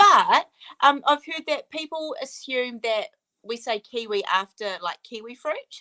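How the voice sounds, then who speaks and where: Speaking at a fairly slow pace in a New Zealand accent, a woman uses a raised, projected, high-pitched voice with a bright, sharp tone, very wide pitch swings and big swings in loudness, captured as a dry, close sound with no echo. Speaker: author. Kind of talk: interview. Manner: casual, hesitant with many ums.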